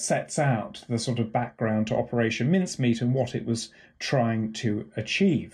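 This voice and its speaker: Somewhat breathy and fairly slow, a man talks at medium pitch with ordinary pitch variation over a quiet background. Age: 50s. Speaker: professor. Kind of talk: interview. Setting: home office.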